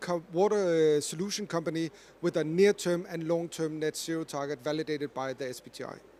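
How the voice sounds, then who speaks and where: Speaking at a fairly quick pace with hardly any pauses, a man with a high pitch and a Danish accent has a dark, mellow tone, ordinary pitch variation, and big swings in loudness. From Denmark. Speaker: corporate climate expert, panelist. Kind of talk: panel discussion.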